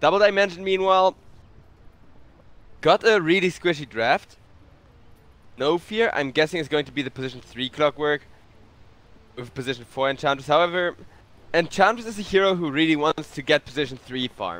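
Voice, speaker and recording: A man with a German accent talks at a fairly quick pace and fairly high pitch, with big swings in loudness, long and frequent pauses, and a dry, close sound with no echo. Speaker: esports caster. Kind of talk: live commentary. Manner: animated.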